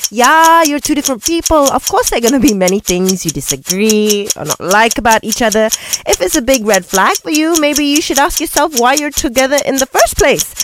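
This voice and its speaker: Over noticeable background noise, a woman with a high voice talks at a fairly quick pace with hardly any pauses, her tone animated and playful and her pitch swinging very widely. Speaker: radio co-host. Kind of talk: casual radio debate banter. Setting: radio studio. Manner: animated, playful.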